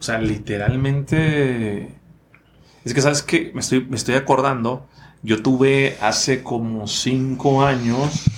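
This man's medium-pitched voice keeps fairly even intonation and moves at a very slow pace. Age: 30s. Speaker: podcast host and speaker. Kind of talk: casual interview. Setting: studio.

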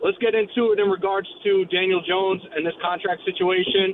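With an American accent, a man speaks at a high pitch and fairly quick pace. His pitch varies ordinarily, over noticeable background noise. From New Jersey. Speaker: caller. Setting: phone call.

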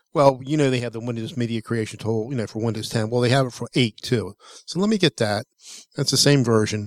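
Very fast speech comes from a man at a medium pitch with ordinary pitch variation. The sound is dry and close with no echo, in a very clean recording with a silent background. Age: 60s. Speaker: tech podcast co-host. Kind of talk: casual chat.

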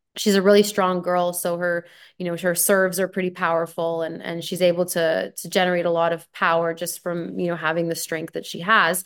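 The delivery is flat and monotone in intonation. It comes at a moderate pace in a Canadian accent. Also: woman. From Canada. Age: 30s. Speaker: former pro tennis player and commentator. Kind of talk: casual interview.

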